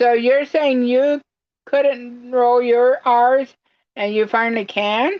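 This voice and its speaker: A woman at a very slow pace, high in pitch, with fairly even intonation and very even loudness. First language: German. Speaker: crafting livestream host. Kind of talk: casual livestream chat. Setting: live stream. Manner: halting.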